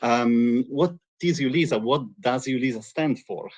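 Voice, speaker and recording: A man with a strong Italian accent speaks at a medium pitch with ordinary pitch variation. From Italy. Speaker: EU agency representative. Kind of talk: webinar presentation. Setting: live stream webinar.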